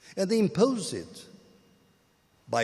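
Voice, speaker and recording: Very slowly, a man speaks with vocal fry. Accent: Portuguese. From Portugal. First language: Portuguese. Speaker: academic speaker. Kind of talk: panel dialogue. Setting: public event at a gallery.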